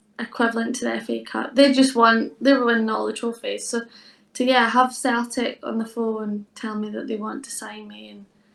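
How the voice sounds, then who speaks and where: A woman with a Scottish accent at a moderate pace, with big swings in loudness. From southern Scotland. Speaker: professional footballer. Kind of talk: podcast interview. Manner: casual, filler-heavy.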